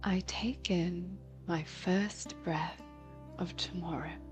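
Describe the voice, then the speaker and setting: The speaker is soft-spoken and talks at a very slow pace. Music plays in the background. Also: woman. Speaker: voice actor; meditation guide. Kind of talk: guided meditation. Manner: very slow, soft-spoken.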